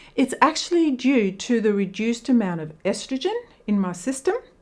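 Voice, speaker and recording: A woman speaks in an Australian accent. Her pace is moderate. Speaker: teacher explaining women's health. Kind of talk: educational talk. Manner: conversational.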